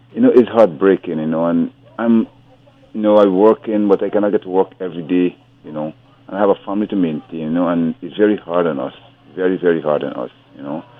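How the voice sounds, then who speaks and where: A man with a very deep, low voice talks at a very fast pace with ordinary pitch variation over noticeable background noise. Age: 60s. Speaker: caller. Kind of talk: phone-in call. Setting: phone call.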